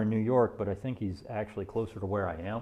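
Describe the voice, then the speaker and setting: This man has a Deep South accent and a dark, mellow tone. He talks at a fairly quick pace with ordinary pitch variation. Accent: slurs syllables together, Deep South. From US South. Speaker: woodworker streamer. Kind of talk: casual livestream chat while working. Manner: slurred, runs words together.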